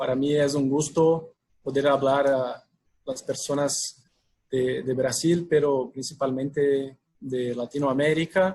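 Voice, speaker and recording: A man with a Brazilian accent and a fairly high pitch speaks somewhat breathily at a fairly slow pace with fairly even intonation. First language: Portuguese (speaking Spanish). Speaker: packaging sales manager, webinar speaker. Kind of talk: webinar presentation. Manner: halting, with fillers.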